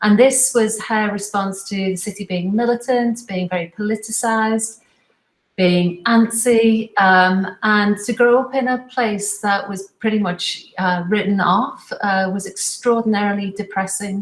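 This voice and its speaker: A somewhat breathy woman with a Liverpool accent, at a fairly slow pace. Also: medium pitch for a woman, fairly even intonation. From Liverpool, northern England. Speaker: fashion professor. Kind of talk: interview.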